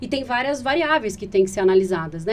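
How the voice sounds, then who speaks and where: A woman with a fairly high voice and ordinary pitch variation talks at a very fast pace. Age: 30s. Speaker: patient advocate, founder of a patient organization. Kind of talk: podcast interview. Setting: podcast recording.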